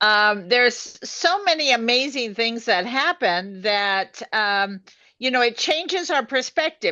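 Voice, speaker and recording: The voice is bright and sharp, moving at a fairly slow pace with lively intonation against a quiet background. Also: woman. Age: 70s. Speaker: co-host of a women's health live show. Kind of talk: live video chat. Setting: live stream.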